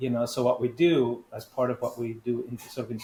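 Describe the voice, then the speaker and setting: A somewhat breathy man is talking. His pitch is medium and his pace moderate. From grew up in many countries, child refugee. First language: not English (fourth language). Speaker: personal branding coach. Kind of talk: interview conversation. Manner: halting, frequent restarts.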